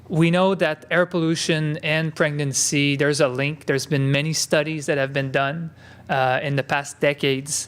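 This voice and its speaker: A man with a French Canadian accent and fairly high pitch speaks at a moderate pace in a flat monotone. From Quebec. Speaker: epidemiologist. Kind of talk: conference talk. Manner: halting, many filler words.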